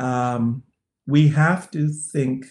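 A man talks with ordinary pitch variation. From Canada. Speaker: sociology professor and researcher on violence against women. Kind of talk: interview.

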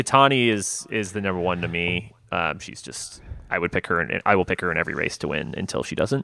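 Vocal fry runs through a man's very deep, low voice with a bright, sharp tone. He moves at a fairly quick pace with lively intonation. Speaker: podcast co-host. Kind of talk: casual chat.

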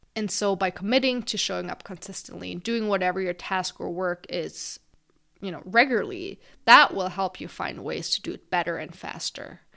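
A woman talks at a moderate pace with a non-native accent. The recording is very clean, with a silent background. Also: big swings in loudness. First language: not English. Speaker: podcast host. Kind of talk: solo podcast monologue.

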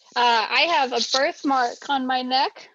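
A woman with an American accent, high pitch and a bright, sharp tone, in a dry, close sound with no echo against a quiet background. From US Midwest. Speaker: stay-at-home mother. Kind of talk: panel conversation.

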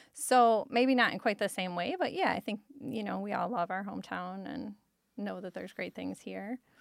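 A woman with a Michigan accent talks at a moderate pace on a very clean recording with a silent background. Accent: Midwestern American (Michigan). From Detroit, Michigan. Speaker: podcast co-host and entrepreneur. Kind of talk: casual interview.

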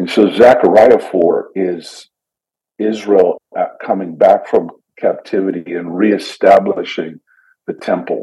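A man speaks with a Canadian accent. His pace is very slow, broken by long, frequent pauses. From Canada. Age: 50s. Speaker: missionary and church pioneer. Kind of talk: casual interview chat.

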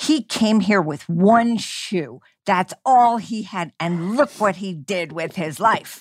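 A woman of medium pitch talks at a very slow pace with lively intonation. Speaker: podcast host. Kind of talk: interview conversation.

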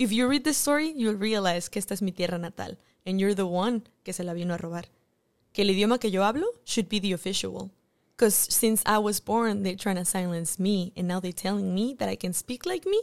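In a very clean recording with a silent background, someone with a Mexican accent talks at a fairly quick pace with ordinary pitch variation. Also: woman. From Mexico. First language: Spanish. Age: 20s. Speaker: actress. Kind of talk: casual chat.

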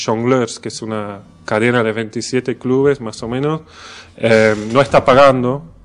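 In a normal speaking voice, a man talks at a fairly slow pace with medium pitch. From Belgium. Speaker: comedian. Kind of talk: casual chat.

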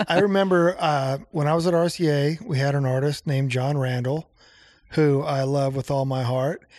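A man with an American accent speaks in an ordinary speaking voice at a moderate pace, his pitch fairly high and his pitch variation ordinary. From Nebraska. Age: 50s. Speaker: songwriter and music producer. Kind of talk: casual chat. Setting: home basement studio.

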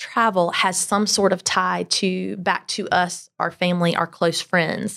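In a South Carolina accent, a woman speaks at a fairly slow pace and medium pitch with ordinary pitch variation, on a very clean recording with a silent background. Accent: Southern US (South Carolina). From US South, Greenville, South Carolina. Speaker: travel company owner, former teacher. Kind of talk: interview.

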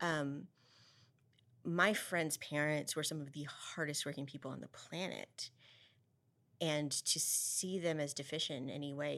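In a West Texas accent, a woman speaks with a very deep, low pitch and a bright, sharp tone. Her intonation is monotone and flat, her pace fairly slow, and the recording very clean with a silent background. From Texas Panhandle (Amarillo). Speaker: school board member and education advocate. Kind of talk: interview.

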